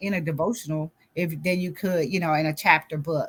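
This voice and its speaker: Her somewhat breathy voice sits fairly low for a woman, and her intonation stays fairly even. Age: 60s. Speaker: author and grief coach. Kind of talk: interview.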